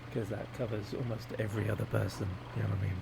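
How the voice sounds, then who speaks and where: A man talks in a fairly low pitch. Audible room echo and noticeable background noise surround him. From England, Devon. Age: 40s. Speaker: gaming youtuber. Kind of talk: casual gameplay commentary. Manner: rambling, hesitant with many fillers.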